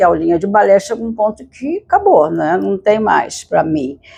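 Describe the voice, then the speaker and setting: Dark and mellow in tone, a woman's medium-pitched voice moves at a moderate pace. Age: 80s+. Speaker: retired ballet dancer, vlogger. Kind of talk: personal storytelling vlog. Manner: hesitant with fillers.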